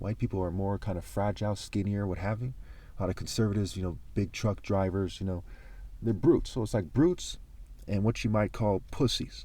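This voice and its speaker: Speaking at a fairly quick pace, a man uses a fairly low pitch with ordinary pitch variation. The recording is very clean, with a silent background. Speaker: video monologue creator. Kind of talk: casual monologue rant. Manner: fast; halting, repeated words.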